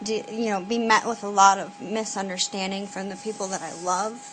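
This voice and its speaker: A woman talks at a moderate pace in a medium pitch. Music plays in the background. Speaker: vlogger. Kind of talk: personal video message. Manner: hesitant, many fillers.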